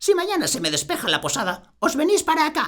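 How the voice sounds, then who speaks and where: A put-on character voice from a man, extremely high and warm, at a very fast pace. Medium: read story. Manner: warm, homely.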